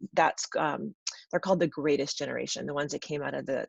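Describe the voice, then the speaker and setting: A woman at a very fast pace, in dry, close sound with no echo. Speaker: photography business coach. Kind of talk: webinar presentation. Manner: casual with many fillers.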